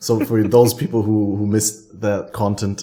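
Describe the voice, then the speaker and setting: A man speaks at a moderate pace in a fairly low pitch. His intonation stays fairly even. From Germany. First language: German. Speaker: podcast host. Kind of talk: casual chat.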